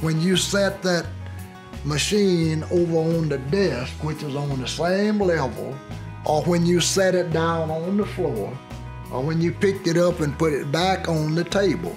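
Clear music plays in the background as a man speaks at a fairly slow pace, his pitch fairly high with ordinary variation. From Alabama, US Deep South. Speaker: Navy veteran and civil rights witness. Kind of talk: oral history interview. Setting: living room. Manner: humorous. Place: home room.

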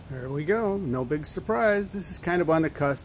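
Light background noise sits behind a man whose pitch variation is ordinary. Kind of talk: casual sarcastic commentary. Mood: sarcastic, annoyed. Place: street. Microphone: phone near.

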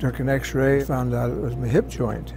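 Music plays in the background as a man with an American accent talks at a moderate pace. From United States. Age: 80s+. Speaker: health plan member who works out daily. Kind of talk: interview answer, casual personal testimonial. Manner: plain-spoken, conversational, slightly halting. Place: meeting room. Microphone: lapel.

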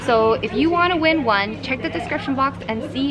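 High-pitched female speech against noticeable background noise. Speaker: vlogger. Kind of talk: casual vlog chat, giveaway announcement. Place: street.

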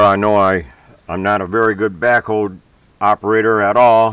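A man talks at a moderate pace with a fairly low pitch. The sound is dry with no echo, and the background is quiet. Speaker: hobbyist tractor owner. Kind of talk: tutorial. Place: farm machine. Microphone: phone near.

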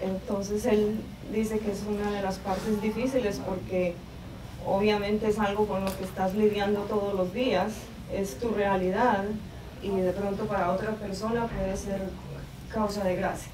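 Over noticeable background noise, a woman at a medium pitch talks at a fairly quick pace in a monotone, flat intonation. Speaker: interpreter; guest. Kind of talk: consecutive interpretation. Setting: classroom with audience. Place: classroom. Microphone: camera far.

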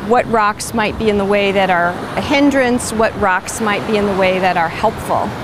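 A woman's medium-pitched voice at a moderate pace, with ordinary pitch variation and clear background noise

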